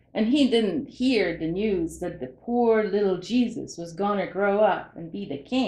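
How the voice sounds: The voice reads naturally, its pitch moving in an ordinary way.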